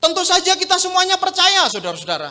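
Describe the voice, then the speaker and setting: A man speaks in a raised, projected voice with lively intonation. His tone is bright and sharp. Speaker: pastor. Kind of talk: sermon. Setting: church.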